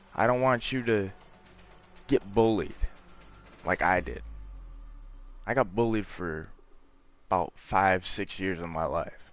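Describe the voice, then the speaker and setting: Music plays in the background as a man speaks at a fairly slow pace, with a fairly low pitch, ordinary pitch variation, and long, frequent pauses. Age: 20s. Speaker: gamer streamer. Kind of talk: casual chat. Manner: calm.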